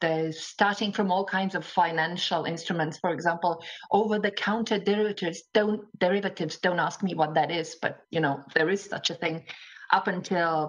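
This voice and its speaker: Speaking at a moderate pace, a woman with a Latvian accent uses a medium pitch and fairly even intonation. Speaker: interpreter. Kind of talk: panel discussion.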